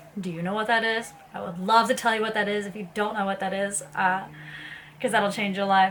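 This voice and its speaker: Speaking fairly quickly at a medium pitch in an American accent, a woman keeps a flat monotone while noticeable background noise and audible room echo fill the recording. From US South, Tennessee (Ashland City). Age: 20s. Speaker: vlogger. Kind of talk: casual talk to camera.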